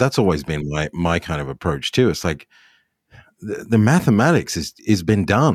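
In an Australian accent, a man with very deep, low pitch talks at a moderate pace with very wide pitch swings, captured in a dry, close sound with no echo. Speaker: golf podcast host and club builder. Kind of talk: casual chat; sponsor read.

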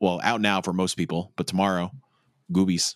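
With a New York accent, the speaker goes at a moderate pace in a very clean recording with a silent background. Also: man. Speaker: podcast host. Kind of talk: casual chat.

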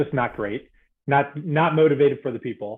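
A man with an American accent speaks in a plain, everyday voice. His pitch is fairly high, with ordinary variation. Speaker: podcast host. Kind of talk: casual interview conversation. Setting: video call.

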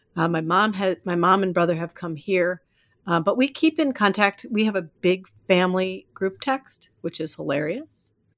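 With an ordinary speaking voice, a woman talks in an American accent at medium pitch and a moderate pace with lively intonation, on a very clean recording with a silent background. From US Midwest (Iowa). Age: 50s. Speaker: life coach. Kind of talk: casual chat.

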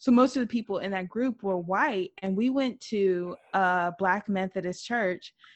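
Hardly pausing, a woman talks at a fairly slow pace. She has a medium pitch with ordinary variation. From Mississippi, US South. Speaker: podcast co-host. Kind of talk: casual chat; informative presentation.

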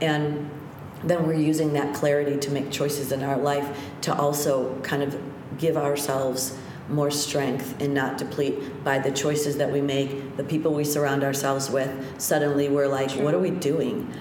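Monotone, flat intonation and very even loudness at a moderate pace, amid audible room echo and noticeable background noise. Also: woman, very deep, low pitch for a woman. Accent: American. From US Midwest (North Shore, Chicago). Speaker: yoga teacher. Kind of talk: casual interview chat.

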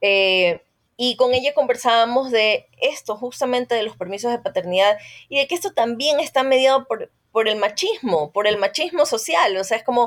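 A woman talks in a high voice with lively intonation. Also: moderate pace. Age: 40s. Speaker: journalist. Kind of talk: interview.

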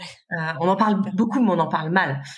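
A somewhat breathy woman's voice with lively intonation at a fairly slow pace. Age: 40s. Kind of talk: casual chat.

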